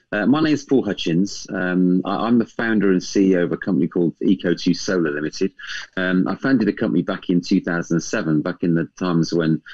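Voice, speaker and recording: Very deep, low pitch from a man, with ordinary pitch variation, a fairly quick pace and a quiet background. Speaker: guest. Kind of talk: interview answer. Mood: warm, a bit nervous. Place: home room. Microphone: video call.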